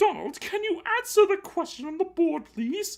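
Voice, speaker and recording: A man talks in a put-on character voice at an extremely high pitch. He keeps a moderate pace. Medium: read story. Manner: stern, authoritative.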